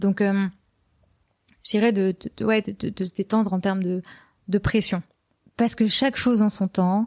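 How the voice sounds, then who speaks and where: Against a quiet background, the dry, close sound with no echo carries a woman's medium-pitched, dark, mellow voice, spoken very slowly in a flat monotone. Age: 20s. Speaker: podcast founder. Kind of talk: interview. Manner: hesitant, many fillers.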